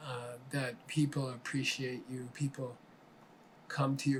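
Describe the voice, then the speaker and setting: Somewhat breathy and medium in pitch, a man with an American accent speaks in a monotone, flat intonation. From Arizona, US. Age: 70s. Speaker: spiritual teacher. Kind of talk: interview answers. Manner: halting, with many fillers and repeats.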